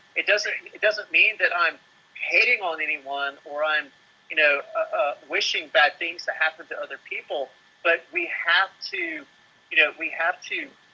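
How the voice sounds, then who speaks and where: Amid noticeable background noise, a man speaks at a moderate pace with a Raleigh accent. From Raleigh, North Carolina. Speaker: spiritual teacher, meditation and yoga studio owner. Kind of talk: casual interview conversation.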